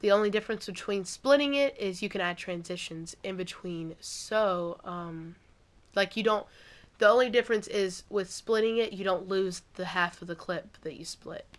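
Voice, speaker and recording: The voice moves at a moderate pace with ordinary pitch variation and big swings in loudness, captured in a very clean recording against a silent background. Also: woman, medium pitch for a woman. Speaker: gaming YouTuber. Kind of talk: tutorial.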